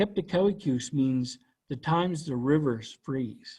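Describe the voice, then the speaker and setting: Against a quiet background, a man with a Canadian Maritime accent speaks at a fairly slow pace with a fairly high pitch, lively intonation and a somewhat breathy voice. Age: 60s. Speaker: cultural educator. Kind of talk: educational presentation.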